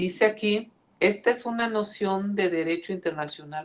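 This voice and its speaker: A woman speaks at a fairly slow pace with ordinary pitch variation. Hers is an unremarkable speaking voice. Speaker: law professor. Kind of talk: lecture.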